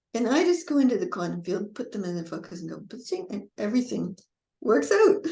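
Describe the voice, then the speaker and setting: Using vocal fry, a woman with a fairly high pitch talks at a fairly quick pace, with very wide pitch swings and big swings in loudness. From Canada. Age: 70s. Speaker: spiritual coach and author. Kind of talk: interview conversation. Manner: animated.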